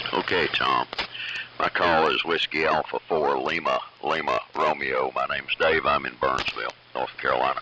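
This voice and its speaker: A man with an Appalachian accent at a moderate pace, amid noticeable background noise. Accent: Southern US (Appalachian). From East Tennessee. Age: 70s. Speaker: ham radio net control operator. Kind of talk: amateur radio round table. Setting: amateur radio AM transmission.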